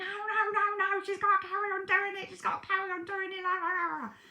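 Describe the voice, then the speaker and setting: This is a put-on character voice, squeaky and extremely high-pitched. It moves at a moderate pace. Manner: forceful, insistent.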